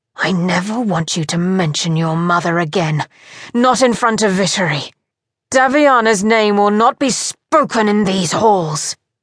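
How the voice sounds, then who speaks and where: Over a quiet background, a woman in a put-on character voice growls and hisses at a medium pitch, with lively intonation and a moderate pace. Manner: harsh, domineering, furious.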